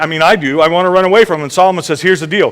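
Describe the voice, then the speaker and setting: The speaker's tone is animated. The recording is very clean, with a silent background. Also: man. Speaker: pastor. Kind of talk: sermon.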